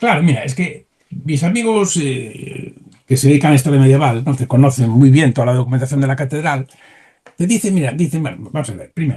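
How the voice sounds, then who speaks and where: Somewhat breathy and fairly high-pitched, a man talks at a fairly quick pace with ordinary pitch variation. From Galicia, Spain (Santiago de Compostela). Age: 70s. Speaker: historian. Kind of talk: interview. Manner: animated.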